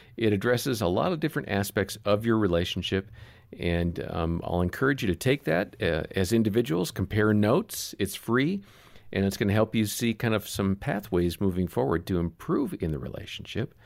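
With lively intonation and a moderate pace, a man talks in an unremarkable speaking voice at a fairly low pitch, recorded very cleanly against a silent background. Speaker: podcast host. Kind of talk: casual chat.

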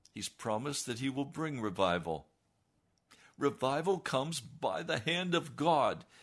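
With vocal fry and very wide pitch swings, a man talks at a fairly slow pace in a fairly high voice against a quiet background. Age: 70s. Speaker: radio preacher. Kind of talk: sermon. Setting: studio. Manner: forceful.

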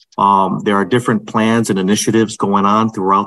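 A man's ordinary speaking voice, fairly low in pitch, with fairly even intonation at a moderate pace. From Holyoke, Massachusetts, US (Puerto Rican family). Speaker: city mayor. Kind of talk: interview.

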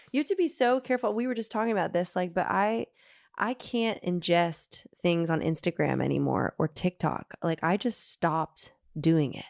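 A woman with a plain, everyday voice, fairly low in pitch, on a very clean recording with a silent background. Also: lively intonation, moderate pace. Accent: American. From US South, Nashville, Tennessee. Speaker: singer-songwriter. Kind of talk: casual chat.

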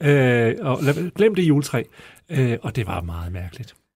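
A somewhat breathy male voice on a very clean recording with a silent background. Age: 50s. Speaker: newspaper journalist, panelist. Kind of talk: casual panel chat.

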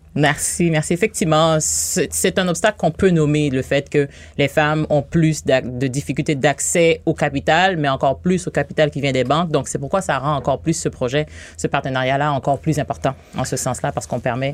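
A woman's very deep, low voice with vocal fry, a moderate pace and ordinary pitch variation, on a very clean recording with a silent background. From Haiti. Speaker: bank regional director for women entrepreneurs. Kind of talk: radio interview.

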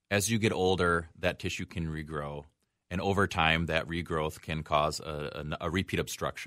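With an American accent, a man speaks at a moderate pace in a very deep, low pitch, his bright, sharp tone holding fairly even intonation. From Wisconsin (western, near Eau Claire). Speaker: urologist. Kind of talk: radio call-in discussion. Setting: radio studio.

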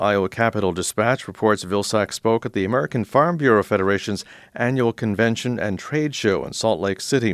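A man speaks in a plain, everyday voice at medium pitch, with ordinary pitch variation and a fairly quick pace. He hardly pauses, and the sound is dry and close with no echo. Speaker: radio news host. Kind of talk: news reading. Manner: formal.

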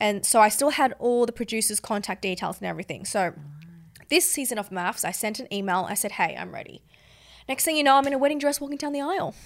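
Speaking at a very fast pace, a woman with an Australian accent uses lively intonation at a fairly high pitch. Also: very clean recording, silent background. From Sydney, Australia. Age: 20s. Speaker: reality TV contestant. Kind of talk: casual chat. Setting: studio.

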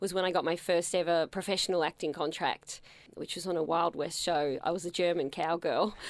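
The recording is very clean, with a silent background. A woman with an Australian accent speaks at a moderate pace, medium pitch and fairly even intonation. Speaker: performer and writer. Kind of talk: interview. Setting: radio studio.

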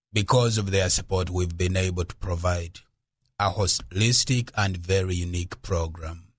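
Very deep, low male voice, somewhat breathy, with fairly even intonation at a moderate pace. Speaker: charity founder. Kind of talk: radio interview.

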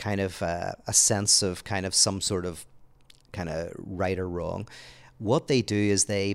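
A man with a Northern Irish accent speaks at a fairly slow pace and a fairly low pitch. The very clean recording has a silent background and a dry, close sound with no echo. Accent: Northern Irish (Belfast). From Northern Ireland, Belfast. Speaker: author and theologian. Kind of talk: casual conversation. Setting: apartment, in person.

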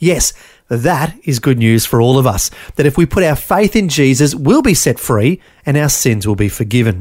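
A man with an Australian accent, fairly high-pitched, with very wide pitch swings and a moderate pace. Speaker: radio host. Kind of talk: scripted narration.

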